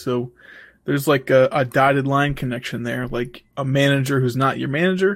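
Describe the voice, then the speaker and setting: A man's ordinary speaking voice, fairly high in pitch, moves at a fairly quick pace in a very clean recording with a silent background. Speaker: podcast co-host. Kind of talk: casual banter podcast.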